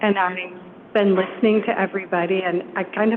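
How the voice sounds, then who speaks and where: Noticeable background noise sits behind a woman speaking at a moderate pace and medium pitch. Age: 60s. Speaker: resident speaking at public comment. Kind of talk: public comment. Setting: city council meeting.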